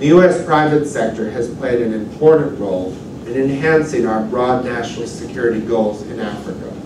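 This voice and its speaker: Noticeable background noise and audible room echo both surround the man's speech. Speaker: diplomat. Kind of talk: prepared panel remarks. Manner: formal. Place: hall.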